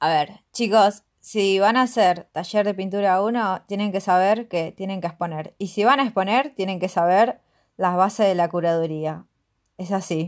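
A woman talks at a moderate pace with an unremarkable speaking voice, medium pitch and ordinary pitch variation. The background is quiet. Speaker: podcast co-host, art student. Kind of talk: casual chat.

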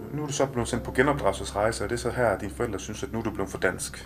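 A man talks very fast, with noticeable noise in the background. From Denmark, Kolding. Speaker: podcast host. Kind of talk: interview. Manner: halting.

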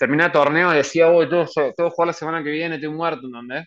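A man talks very fast with a Rioplatense accent at a fairly high pitch. The sound is dry and close with no echo, over a quiet background. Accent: Argentine Rioplatense Spanish. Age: 30s. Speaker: professional golfer. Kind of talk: interview. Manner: halting, frequent repetitions.

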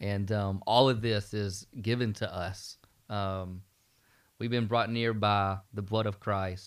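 Very slowly, a man speaks in a Southern US accent. His fairly low voice stays monotone and flat. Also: very clean recording, silent background. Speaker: student pastor. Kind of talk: Bible study discussion, podcast.

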